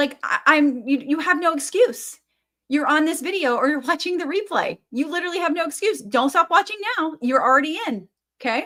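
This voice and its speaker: Speaking in a raised, projected voice, a woman uses a high pitch and a bright, sharp tone. Her intonation is lively and her pace fairly quick. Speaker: business coach. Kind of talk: motivational video talk. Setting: face to camera on a tripod. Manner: fast; animated.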